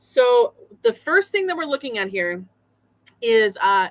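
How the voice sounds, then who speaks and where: A woman speaks loudly at a moderate pace, her fairly high voice bright and sharp. Her pitch swings very widely, and the sound is dry and close with no echo. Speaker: quilt history streamer. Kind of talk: casual live stream chat. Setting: live stream with screen share.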